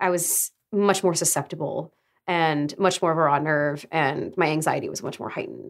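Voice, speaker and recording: A woman with a normal speaking voice talks at a moderate pace, her pitch fairly low and her intonation fairly even, on a very clean recording with a silent background. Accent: American. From Arizona, US. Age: 20s. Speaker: voice actor and writer. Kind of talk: casual interview.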